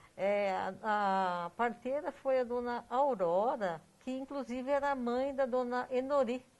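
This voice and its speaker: Over a quiet background, a woman speaks at a high pitch with ordinary variation. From Brazil, São Paulo state (Iperó). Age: 60s. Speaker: local family history researcher. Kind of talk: interview.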